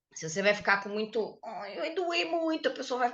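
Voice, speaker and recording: A woman with a high pitch and a bright, sharp tone talks at a fairly quick pace with very wide pitch swings. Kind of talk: podcast conversation.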